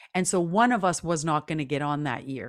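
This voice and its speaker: A woman's very deep, low voice in a Canadian accent, at a moderate pace with lively intonation. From Canada, Métis. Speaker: singer-songwriter, actor and speaker. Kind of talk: interview. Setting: video call.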